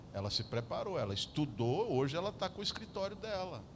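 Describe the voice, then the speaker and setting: A man talks at a fairly quick pace with very wide pitch swings. Audible room echo surrounds his voice. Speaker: pastor. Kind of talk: sermon. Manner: animated.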